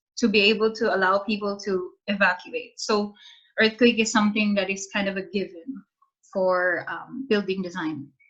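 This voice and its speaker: Speaking at a fairly slow pace, a woman keeps a medium pitch and fairly even intonation. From Philippines. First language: Filipino (Tagalog). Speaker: architect and scholar presenting home country. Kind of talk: Q&A after presentation. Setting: video call. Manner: casual, hesitant with fillers.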